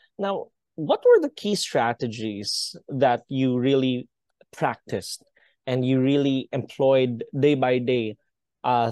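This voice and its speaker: A man's dark, mellow voice at medium pitch, dry and close with no echo, over a quiet background. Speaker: podcast host, tech company founder. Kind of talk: interview.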